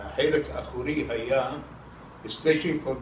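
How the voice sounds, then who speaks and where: A man's fairly high voice at a very slow pace, over noticeable background noise. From Iraq. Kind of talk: interview answer.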